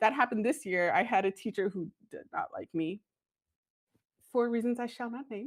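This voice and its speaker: An animated woman with an American accent, fairly high in pitch with lively intonation, at a moderate pace with long, frequent pauses and big swings in loudness, on a very clean recording with a silent background and a dry, close sound with no echo. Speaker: school librarian. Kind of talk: podcast interview. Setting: studio.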